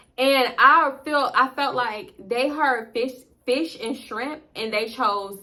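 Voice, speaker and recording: An animated woman's voice with ordinary pitch variation and noticeable background noise. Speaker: storytime youtuber. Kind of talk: storytime monologue. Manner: fast.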